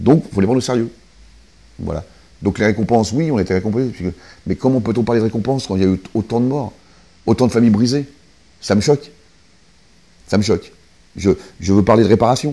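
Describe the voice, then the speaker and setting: A man's medium-pitched voice with a dark, mellow tone, very fast pace, ordinary pitch variation, long, frequent pauses and big swings in loudness. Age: 60s. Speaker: security guard, terror attack witness. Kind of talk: interview testimony. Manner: halting, many repetitions.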